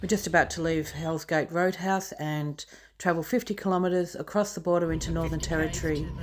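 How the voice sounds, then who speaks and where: With a normal speaking voice, a woman talks at a fairly quick pace, fairly low in pitch with fairly even intonation, over light background noise. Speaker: travel vlogger mother. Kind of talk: casual vlog chat. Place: farm. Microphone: phone near.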